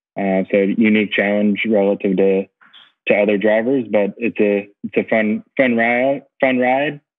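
A man with an American accent speaks at a fairly slow pace in a fairly low pitch, his intonation fairly even. His loudness stays very even over a quiet background. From United States. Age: 40s. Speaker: racing driver and team owner; podcast guest. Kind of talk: casual interview. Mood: friendly, relaxed. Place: home room. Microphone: earbuds.

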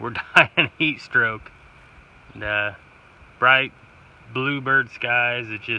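A male voice of medium pitch with an American accent, moderate pace and fairly even intonation

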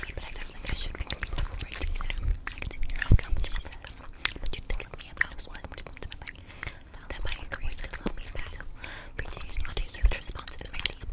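This voice is whispering. It moves at a moderate pace. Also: woman. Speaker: ASMR creator. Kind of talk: novel reading. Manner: whispered. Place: home room. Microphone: studio mic.

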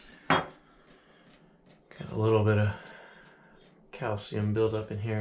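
Loud background noise surrounds a man who talks fairly slowly. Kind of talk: tutorial. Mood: mildly frustrated. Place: bathroom. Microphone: phone near.

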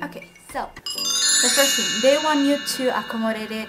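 Faint music plays behind the voice. A woman talks fairly slowly. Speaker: vlogger living abroad. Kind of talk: casual vlog chat. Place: home room. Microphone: phone near.

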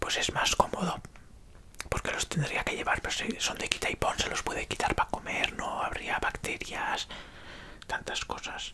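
Whispering comes from a man. His pace is fairly slow. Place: home room. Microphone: earbuds.

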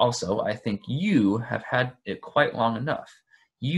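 Lively intonation runs through an unforced reading voice, set against a quiet background.

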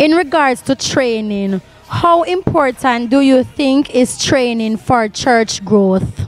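A woman with a high-pitched voice talks at a very slow pace with lively intonation and very even loudness, the sound dry with no echo and faint music in the background. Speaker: TV program host. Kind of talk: interview questions. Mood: warm, respectful. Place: church. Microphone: handheld.

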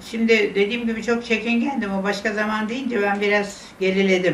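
There is audible room echo and light background noise as a woman speaks at a moderate pace. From Istanbul, Turkey. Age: 80s+. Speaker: interviewee recalling memories. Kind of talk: interview answer, personal memories. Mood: wistful, regretful reminiscence. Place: home room.

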